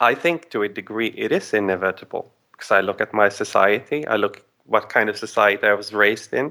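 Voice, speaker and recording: A man with a Swedish accent at a moderate pace. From Sweden. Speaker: caller. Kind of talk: call-in discussion. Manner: halting.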